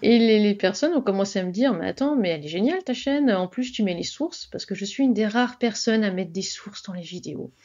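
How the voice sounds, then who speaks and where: This woman's voice sits fairly high, with ordinary pitch variation. She talks very fast. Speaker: author and writing advice YouTuber. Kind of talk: interview. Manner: swallows syllables.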